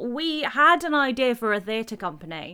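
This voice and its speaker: A woman speaks at a high pitch with very wide pitch swings and a bright, sharp tone. The recording is very clean, with a silent background. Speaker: theatre company founder. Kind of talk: casual interview.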